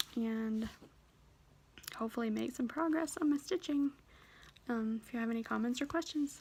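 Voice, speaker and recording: A quiet woman's voice, high in pitch with ordinary variation, at a moderate pace with long, frequent pauses. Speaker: cross stitch vlogger. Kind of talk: casual chat.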